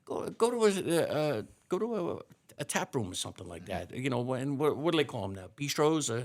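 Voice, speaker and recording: A fairly high-pitched man with an American accent, vocal fry, very wide pitch swings, big swings in loudness and a fairly quick pace. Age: 60s. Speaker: fire chief. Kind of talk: casual interview.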